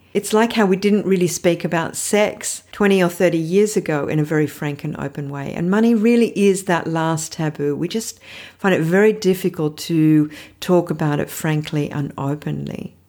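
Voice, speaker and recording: A woman speaks in an Australian accent at a fairly low pitch and a moderate pace, her tone dark and mellow, with ordinary pitch variation. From Australia (Sydney). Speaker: podcast host, financial therapist. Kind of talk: solo podcast monologue.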